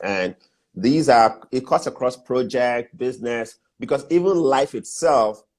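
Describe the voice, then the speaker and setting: A man with a Nigerian accent speaks with ordinary pitch variation. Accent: typical Nigerian. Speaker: business mentor and entrepreneur. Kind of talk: interview on business advice.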